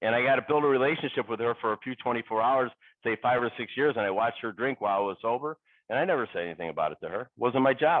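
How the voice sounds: A man talks at a fast pace. His pitch is medium, with ordinary variation.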